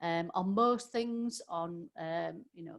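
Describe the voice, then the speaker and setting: A woman speaks with a Yorkshire accent. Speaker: business trainer. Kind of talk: webinar presentation. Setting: online webinar. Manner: hesitant, many fillers.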